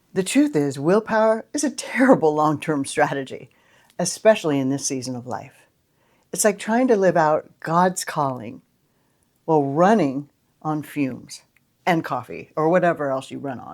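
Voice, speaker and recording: On a very clean recording with a silent background, a woman speaks at a moderate pace in a very deep, low voice, with very wide pitch swings and big swings in loudness. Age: 60s. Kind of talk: casual talk to camera.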